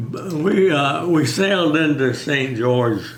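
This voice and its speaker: Over noticeable background noise and audible room echo, a man speaks at a very slow pace with lively intonation. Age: 90s. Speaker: war veteran. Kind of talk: oral history interview. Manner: halting.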